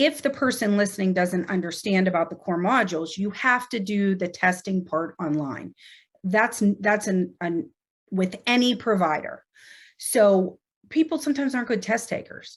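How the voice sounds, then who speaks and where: A woman with an American accent talks at a moderate pace in a medium pitch, with lively intonation and a somewhat breathy quality. The recording is very clean, with a silent background. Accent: Pittsburgh accent, others say so. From Pittsburgh, US. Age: 40s. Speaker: nurse anesthetist and educator. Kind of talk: casual interview. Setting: podcast recording.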